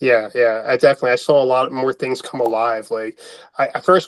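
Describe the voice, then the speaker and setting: Speaking at a fairly quick pace, a man with an American accent has an unremarkable speaking voice at medium pitch. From US Northeast, Philadelphia. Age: 30s. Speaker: web3 community member. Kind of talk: interview. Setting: in person at guest's home.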